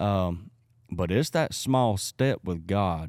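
Here a man with a Southern US accent has a dark, mellow tone and lively intonation. The recording is very clean, with a silent background. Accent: Southern US (Georgia). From US South, South Georgia. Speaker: evangelist. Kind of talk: casual interview chat.

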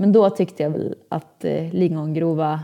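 The delivery is fairly slow and fairly even in intonation, with a dark, mellow tone and vocal fry. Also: woman. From Sweden, Åmål (Dalsland). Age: 20s. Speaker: social media influencer and fitness entrepreneur. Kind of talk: casual interview.

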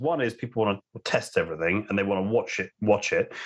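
A man with a London accent speaks over a quiet background. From London, England. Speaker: telecom analyst. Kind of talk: casual interview chat. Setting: home, remote call.

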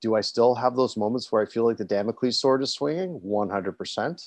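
A plain, everyday voice from a man with a Canadian accent, medium pitch, ordinary pitch variation, fairly quick pace, dry close sound with no echo, and a quiet background. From Toronto, Canada. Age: 40s. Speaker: cancer survivor and peer supporter. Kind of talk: interview.

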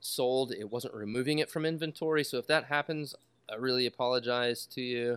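Heard on a very clean recording with a silent background, an unremarkable speaking voice talks at a moderate pace with fairly even intonation, the sound dry and close with no echo. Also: man. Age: 40s. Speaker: pen maker and woodworking artist. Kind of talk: casual chat.

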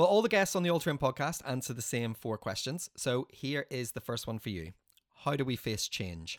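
A man talks at a fairly quick pace with vocal fry and very wide pitch swings, recorded dry and close with no echo. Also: medium pitch for a man. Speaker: podcast host. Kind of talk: casual interview chat. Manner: fast.

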